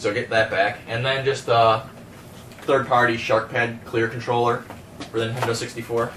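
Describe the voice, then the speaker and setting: Audible room echo and noticeable background noise accompany a man speaking at a medium pitch with monotone, flat intonation. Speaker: game collector YouTuber. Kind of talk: casual video haul showcase. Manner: fast; hesitant, many fillers.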